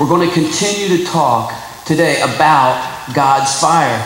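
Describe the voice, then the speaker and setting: A man's high-pitched voice at a moderate pace, with audible room echo and light background noise. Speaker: preacher. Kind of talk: sermon.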